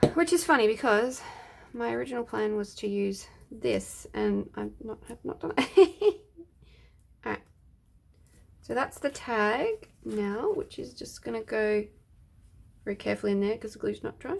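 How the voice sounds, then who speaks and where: Soft-spoken, a woman talks at a moderate pace with long, frequent pauses. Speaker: craft video creator. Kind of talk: casual craft tutorial chat. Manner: soft-spoken, talking quietly.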